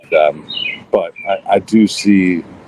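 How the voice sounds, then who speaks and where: A man speaks over noticeable background noise. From Kentucky (Elizabethtown). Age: 40s. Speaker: musician. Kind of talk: interview conversation. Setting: podcast interview. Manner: halting, with many repetitions.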